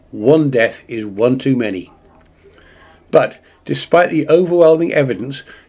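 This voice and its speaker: Lively in intonation, a man speaks at a fairly high pitch with a dark, mellow tone. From Australia. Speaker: commentary YouTuber. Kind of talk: opinion monologue.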